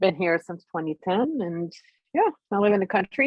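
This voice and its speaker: Here a woman speaks with a Quebec accent. Her pace is fairly quick. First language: French. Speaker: fiber artist guest. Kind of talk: casual chat.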